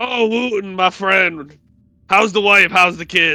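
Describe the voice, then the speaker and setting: Using a put-on character voice, a man projects a raised, high-pitched voice at a fairly slow pace. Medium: actual play. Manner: hearty, cocky.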